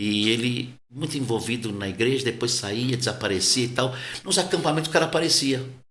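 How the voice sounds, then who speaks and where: A man speaks at a fairly quick pace with medium pitch and ordinary pitch variation. Some room echo can be heard. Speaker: pastor. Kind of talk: casual interview conversation. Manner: soft-spoken, quiet.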